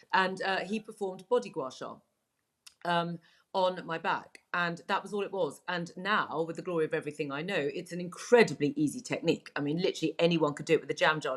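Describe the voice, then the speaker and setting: Talking at a fairly quick pace, a woman uses a fairly low pitch. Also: ordinary pitch variation. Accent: southern English. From England. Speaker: Chinese medicine practitioner. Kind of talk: interview. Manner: hesitant, many fillers.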